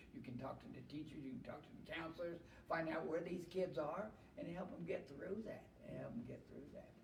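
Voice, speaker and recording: Fairly quick and lively in intonation, a man talks in a high pitch with audible room echo. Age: 70s. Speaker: retired heavy equipment operator, church volunteer. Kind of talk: casual chat.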